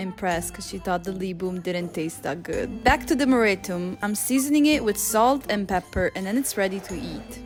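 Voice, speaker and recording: A woman's medium-pitched voice at a fairly quick pace, with hardly any pauses, ordinary pitch variation, and music in the background. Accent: Italian. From Northern Italy (Veneto). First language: Italian. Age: 20s. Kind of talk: casual vlog narration.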